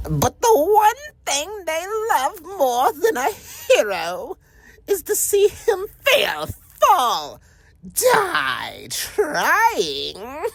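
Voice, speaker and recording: Putting on a character voice, a man talks at a very slow pace with an extremely high pitch. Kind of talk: villain monologue performance. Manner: menacing, taunting.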